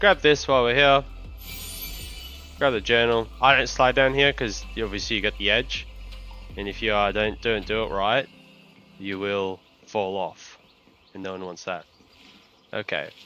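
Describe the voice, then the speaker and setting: A man with an Australian accent speaks at a moderate pace, leaving long, frequent pauses. His loudness swings widely, and music plays in the background. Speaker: gaming streamer. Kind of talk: live gameplay commentary. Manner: casual, halting with self-corrections.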